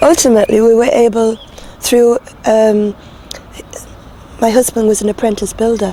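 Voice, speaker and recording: With a Northumbrian accent, a woman talks at a moderate pace and a fairly high pitch in a flat, monotone way. Noticeable background noise can be heard. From Northumberland. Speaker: street preacher. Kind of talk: interview answer.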